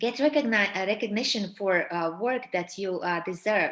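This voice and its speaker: A woman at a moderate pace, medium-pitched, with ordinary pitch variation. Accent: Latvian. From Latvia. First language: Latvian. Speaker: personal branding coach. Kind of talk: webinar presentation. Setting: webinar. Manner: hesitant, many fillers.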